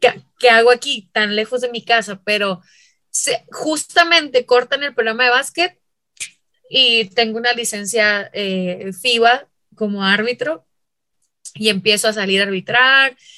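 A woman speaks fairly slowly in a fairly high, bright and sharp voice. Her tone is animated, and her pitch varies in an ordinary way. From Mexico, Chihuahua. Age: 30s. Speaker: basketball referee and instructor. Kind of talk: interview conversation. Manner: loud, forceful.

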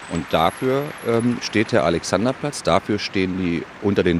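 The speaker is a man with ordinary pitch variation. He keeps to a moderate pace. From Berlin (Köpenick). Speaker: Berlin local, city guide. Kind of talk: casual interview chat.

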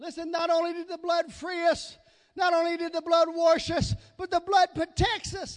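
A man with an extremely high-pitched voice speaks at a moderate pace in an animated tone with a Southern US accent. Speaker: preacher. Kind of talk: sermon.

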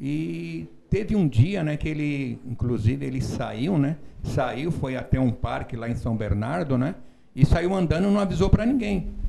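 At a fairly slow pace, a man with a fairly high pitch makes very wide pitch swings. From São Paulo, Brazil. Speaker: relative of a missing person. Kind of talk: interview.

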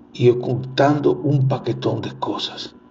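A man speaks with fairly even intonation at a medium pitch. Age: 50s. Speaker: podcast host. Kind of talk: casual monologue. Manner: halting.

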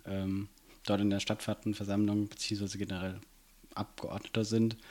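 This is a man with a fairly low pitch. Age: 20s. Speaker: student and city councillor. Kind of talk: casual interview. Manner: hesitant, many fillers.

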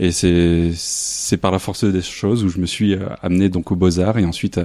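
At a fairly slow pace, a man talks with fairly even intonation in a very deep, low voice. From northern France, near Lille. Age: 30s. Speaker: photographer. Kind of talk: interview. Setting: artist's apartment studio. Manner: halting.

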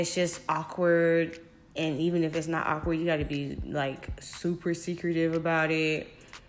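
Moderate pace with audible room echo. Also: woman. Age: 20s. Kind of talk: casual testimony.

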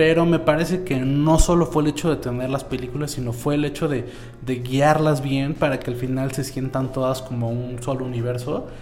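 A man speaks at a medium pitch and a moderate pace with fairly even intonation. Noticeable background noise and audible room echo surround him. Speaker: podcast host. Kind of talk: casual chat.

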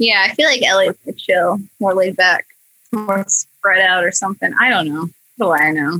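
A woman with an American accent talks at a fairly quick pace in a bright, sharp tone. The sound is dry and close, with no echo. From Iowa, US Midwest. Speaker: animator and comedy video creator. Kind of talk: casual chat.

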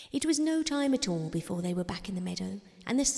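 Straightforward reading aloud

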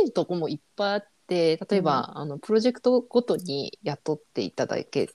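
A woman speaks in a fairly low voice with a dark, mellow tone and lively intonation. The sound is dry and close, with no echo. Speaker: freelance designer and muralist. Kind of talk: casual interview chat.

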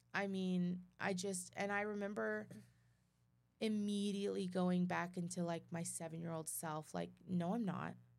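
A woman speaks in an American accent at a fairly slow pace, fairly low in pitch with ordinary pitch variation. Audible room echo surrounds her voice. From Texas, Midland. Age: 20s. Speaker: abuse survivor sharing her story. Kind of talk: testimony.

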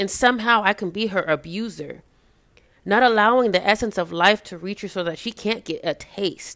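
Her voice is an ordinary speaking voice at medium pitch for a woman. She talks at a moderate pace with ordinary pitch variation. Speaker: spoken word poet. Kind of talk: spoken word poetry. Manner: rhythmic, emotive, reflective.

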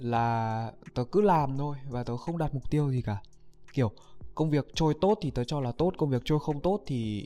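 Speech comes at a fairly slow pace. The recording is very clean, with a silent background. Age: young. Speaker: YouTuber. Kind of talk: casual vlog monologue. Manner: halting.

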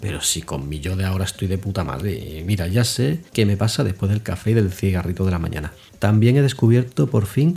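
A man puts on a rumbling character voice at a fairly low pitch. He talks at a fairly quick pace with lively intonation. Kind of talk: comic confessional monologue. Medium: solo performance. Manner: sarcastic, grumbling, peppered with swearing; conversational, addressing the diary fondly.

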